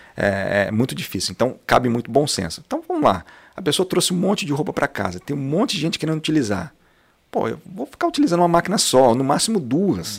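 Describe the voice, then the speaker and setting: A man with a fairly high pitch talks at a very fast pace, his pitch swinging very widely. His voice carries vocal fry. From Londrina, Paraná, Brazil. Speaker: franchise owner, entrepreneur. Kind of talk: podcast interview.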